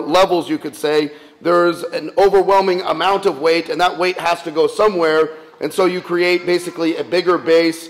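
At a moderate pace, a man with a high pitch talks with fairly even intonation. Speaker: priest. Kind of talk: sermon. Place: church.

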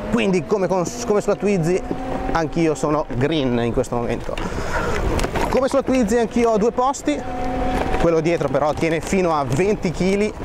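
Speech moves at a moderate pace with long, frequent pauses. The sound is dry with no echo, and background noise is noticeable. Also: man. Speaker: presenter. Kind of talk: commentary. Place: bicycle. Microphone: phone near.

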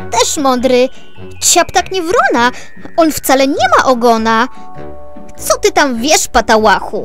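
Music in the background behind a woman at a high pitch, with a very slow pace, lively intonation, and long, frequent pauses. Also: very even loudness. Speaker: voice actor, reader. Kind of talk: children's poetry reading.

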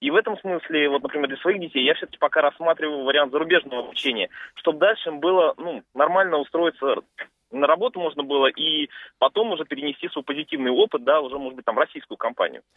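A man with a fairly high pitch at a very fast pace, with ordinary pitch variation. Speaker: radio caller. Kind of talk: call-in comment. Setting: phone call.

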